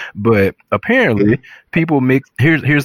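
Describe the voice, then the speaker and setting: A man's normal speaking voice, medium in pitch, with ordinary pitch variation and a fairly quick pace. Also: dry, close sound with no echo. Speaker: podcast co-host. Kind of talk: casual chat.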